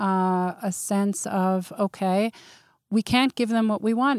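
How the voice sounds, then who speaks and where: A woman in an ordinary speaking voice with ordinary pitch variation, dry and close with no echo, on a very clean recording with a silent background. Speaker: clinical psychologist. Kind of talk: podcast interview. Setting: studio.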